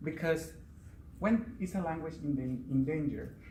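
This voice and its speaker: Fairly high-pitched male voice with a Spanish accent, fairly slow pace and audible room echo. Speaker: Spanish teacher. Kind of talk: prepared speech at a speaking club.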